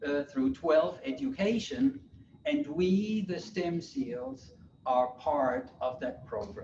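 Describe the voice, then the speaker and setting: A man with a German accent speaks at a very slow pace in a high voice, his pitch swinging very widely. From Germany. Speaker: college professor. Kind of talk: lecture.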